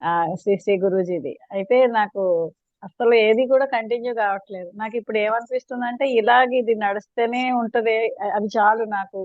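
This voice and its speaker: Fairly high-pitched speech from a woman, with ordinary pitch variation. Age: 60s. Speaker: schoolteacher. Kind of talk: testimonial feedback. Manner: halting.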